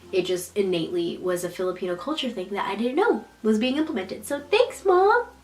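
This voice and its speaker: Noticeable background noise runs behind the speech. A woman talks at a moderate pace. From United States. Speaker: YouTuber. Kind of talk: casual vlog monologue. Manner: quiet, hushed; animated.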